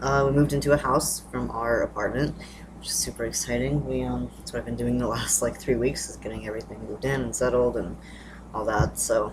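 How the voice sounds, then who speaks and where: Background noise is noticeable in this clip. A man speaks fairly quickly over it. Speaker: vlogger. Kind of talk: casual vlog update. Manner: hesitant, many fillers.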